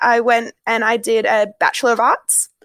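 With a dry, close sound and no echo, a woman speaks in an Australian accent. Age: 20s. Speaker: primary school teacher. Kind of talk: casual interview.

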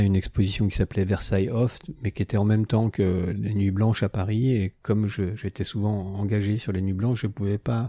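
Dry and close with no echo, a man's fairly low-pitched voice has a dark, mellow tone and fairly even intonation. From France. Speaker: artist. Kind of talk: interview. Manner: hesitant, many fillers.

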